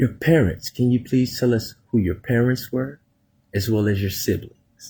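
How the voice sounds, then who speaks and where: The voice is somewhat breathy with a dark, mellow tone and an American accent. It moves at a moderate pace with ordinary pitch variation. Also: man, medium pitch for a man. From Texas, Plainview. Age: 30s. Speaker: podcast host. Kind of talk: interview.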